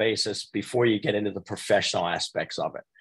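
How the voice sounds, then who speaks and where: A somewhat breathy male voice. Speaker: retired navy officer, retail executive, mentor. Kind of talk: webinar panel talk. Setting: online webinar.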